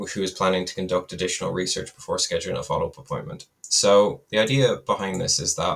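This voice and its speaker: Talking at a fairly quick pace, a man speaks with an Irish accent. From west of Ireland. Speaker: data and AI developer. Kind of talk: software demo. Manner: casual, hesitant with fillers.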